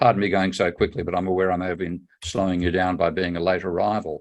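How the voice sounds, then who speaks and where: A man's voice is heard against a quiet background. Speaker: economist. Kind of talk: conference presentation. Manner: fast.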